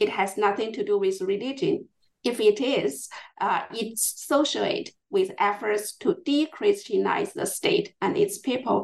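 Speaking with a Chinese accent, a woman talks at a fairly slow pace. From China, Chongqing. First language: Mandarin Chinese. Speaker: historian. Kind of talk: interview. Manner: halting.

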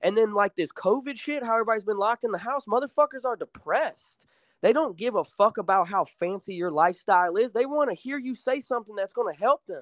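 Talking very fast with hardly any pauses, a man with an American accent uses a high pitch and lively intonation in a dry, close recording with no echo, very clean with a silent background. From Illinois and rural Alabama. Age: 20s. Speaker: rapper. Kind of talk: casual chat.

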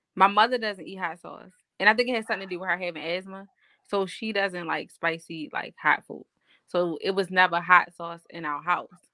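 Speaking at a fairly quick pace, a woman uses a medium pitch with ordinary pitch variation and big swings in loudness. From Baltimore, US. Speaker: podcast guest. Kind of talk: casual chat.

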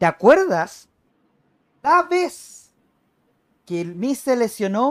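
This man's voice sits high for a man and swings very widely in pitch. The sound is dry and close with no echo, on a very clean recording with a silent background. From Chile. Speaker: wrestling commentator. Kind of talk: casual chat.

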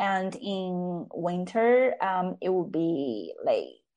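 In a Chinese accent, a woman speaks at a medium pitch with a dark, mellow tone. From China, Chengde (Hebei, near Beijing). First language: Mandarin Chinese. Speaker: psychology student and research assistant. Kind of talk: casual interview conversation. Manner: hesitant, many fillers.

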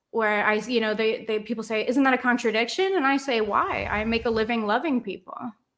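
A woman with an American accent speaks in an ordinary speaking voice at a fairly high pitch. Her pace is fairly quick, with hardly any pauses and ordinary pitch variation. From Cincinnati, Ohio. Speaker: adult film performer. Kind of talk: casual chat.

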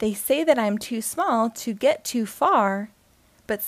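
Someone does plain reading aloud here.

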